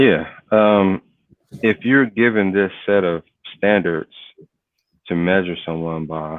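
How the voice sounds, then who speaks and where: A man's very deep, low voice at a very slow pace, with long, frequent pauses and ordinary pitch variation. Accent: American. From US inner city. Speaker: cyber security professional. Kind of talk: interview conversation.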